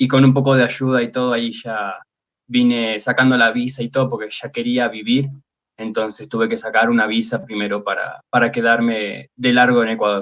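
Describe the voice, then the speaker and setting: This man has a medium pitch and a monotone, flat intonation, keeping a moderate pace. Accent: Argentine. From Argentina, Buenos Aires. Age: 30s. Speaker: fantasy artist. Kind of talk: interview.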